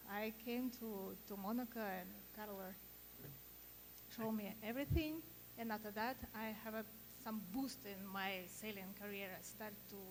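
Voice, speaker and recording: Amid noticeable background noise, a woman with a Russian accent talks at a moderate pace in a fairly high pitch, her intonation fairly even and her pauses long and frequent. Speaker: sailing photographer. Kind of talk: panel discussion. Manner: halting.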